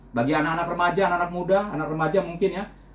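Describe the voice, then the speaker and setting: The speech comes at a very fast pace with audible room echo. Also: man. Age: 60s. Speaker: lay preacher and journalist. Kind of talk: sermon. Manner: repetitive filler 'ya' and 'saudara-saudara'.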